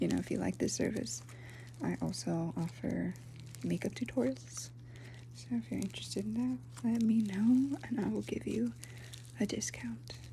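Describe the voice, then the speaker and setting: The speaker talks at a moderate pace in a gentle tone, with long, frequent pauses. Background noise is noticeable. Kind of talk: ASMR roleplay, soft-spoken talk to the listener. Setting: ASMR recording with slime sounds. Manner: soft-spoken, gentle.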